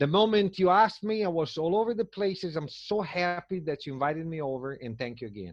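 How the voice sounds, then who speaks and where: At a very fast pace, a man speaks with a high pitch and lively intonation. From Italy. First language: Italian. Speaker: tour business owner. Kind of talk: interview answer. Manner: enthusiastic, upbeat.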